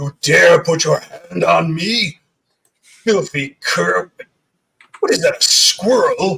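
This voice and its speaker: In a growling put-on character voice, a man speaks at a very slow pace with long, frequent pauses. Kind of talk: archaic, insulting. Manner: growling, indignant.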